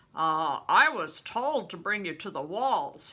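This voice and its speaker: A woman puts on a character voice at a medium pitch, with very wide pitch swings. She speaks at a fairly slow pace. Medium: read story. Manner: reluctant, curt.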